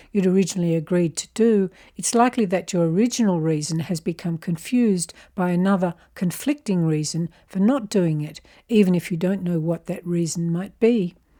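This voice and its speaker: In an Australian accent, a woman speaks at a fairly quick pace with a fairly low pitch, a dark, mellow tone and ordinary pitch variation, on a very clean recording with a silent background. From Australia (Canberra). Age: 70s. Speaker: self-help video presenter. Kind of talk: scripted narration.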